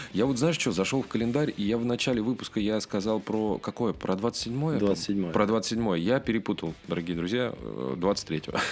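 In a normal speaking voice, a man speaks at a moderate pace with fairly low pitch, lively intonation, very even loudness and hardly any pauses. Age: 30s. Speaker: rock podcast host. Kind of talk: casual chat.

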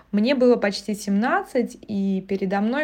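A woman's dark, mellow voice at a medium pitch, with ordinary pitch variation. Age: 20s. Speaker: podcast host. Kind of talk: personal monologue podcast.

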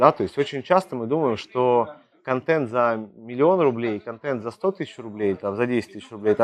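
Using an unremarkable speaking voice, a man talks at a moderate pace with medium pitch and lively intonation. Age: 30s. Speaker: sales coach. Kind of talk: monologue podcast on sales. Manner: casual, filler-heavy.

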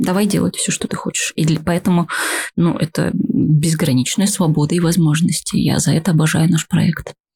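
In a dry, close recording with no echo, a woman speaks at a fairly slow pace and a fairly low pitch, her tone dark and mellow, with vocal fry and ordinary pitch variation. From Buryatia, Russia (Ulan-Ude). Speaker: playwright. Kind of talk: casual chat. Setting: studio.

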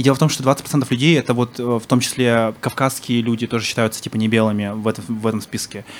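Talking at a very fast pace, a man holds a medium pitch and fairly even intonation. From Yakutia (Sakha Republic), Yakutsk. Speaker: blogger-activist. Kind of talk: casual chat. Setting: bar with live audience.

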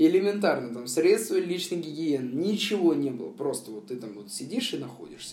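This man talks at a fairly high pitch with very wide pitch swings. His loudness swings a lot, and he hardly pauses. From Moscow, Russia. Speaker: former prisoner. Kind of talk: testimony. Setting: remote call. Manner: hesitant, filler-heavy.

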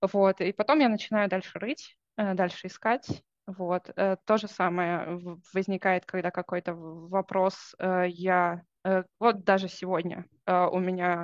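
Very slow and fairly even in intonation, a woman talks at a medium pitch against a quiet background, the sound dry and close with no echo. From Russia, Saint Petersburg. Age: 20s. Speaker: junior software developer. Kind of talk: interview.

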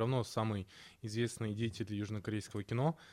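A plain, everyday voice from a man with a fairly low pitch, at a fairly quick pace, on a very clean recording with a silent background. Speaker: film podcast co-host. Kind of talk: casual chat.

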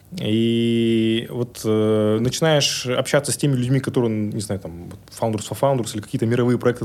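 A man with an ordinary speaking voice talks at a fairly quick pace, at medium pitch and with ordinary pitch variation. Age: 30s. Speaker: tech entrepreneur. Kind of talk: interview conversation.

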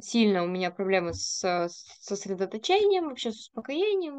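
This woman's voice sits at a fairly high pitch. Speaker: podcast host. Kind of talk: casual chat.

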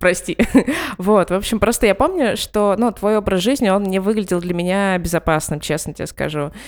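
In a normal speaking voice, a woman talks at a moderate pace and medium pitch with ordinary pitch variation, on a very clean recording with a silent background. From Ivanteyevka, Moscow region. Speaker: podcast host. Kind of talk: casual interview chat. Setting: call.

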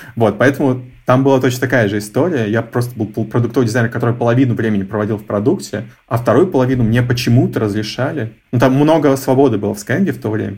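Talking at a very fast pace, a man uses a somewhat breathy, medium-pitched voice with ordinary pitch variation. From Russia, Novosibirsk (Akademgorodok). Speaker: head of design. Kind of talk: interview.

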